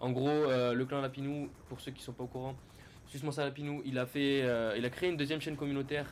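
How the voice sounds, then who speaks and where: The voice is a man's, medium in pitch. Noticeable background noise runs underneath. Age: 20s. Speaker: gaming youtuber. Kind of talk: game commentary. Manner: fast; animated.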